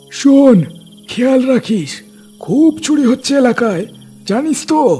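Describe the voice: In a cartoonish character voice, a man speaks at a very slow pace with an extremely high pitch. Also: lively intonation.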